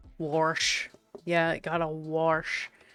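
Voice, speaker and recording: A woman's very deep, low pitch at a very slow pace, with faint music in the background. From Canada, Prince Edward Island. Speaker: live-streaming digital artist; streamer. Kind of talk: casual live-stream chat. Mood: playful, laughing. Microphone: headset.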